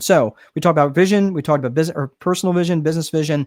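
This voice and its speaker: Pitched fairly high, a man talks at a very fast pace with ordinary pitch variation. The sound is dry and close, with no echo. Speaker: business strategist. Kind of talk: webinar lecture.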